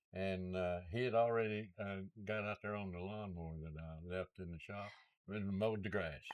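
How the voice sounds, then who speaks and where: A man speaks at a moderate pace with a very deep, low pitch. His intonation stays fairly even over a quiet background. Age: 80s+. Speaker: Air Force veteran, home seller. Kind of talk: interview answer. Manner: hesitant, frequent fillers.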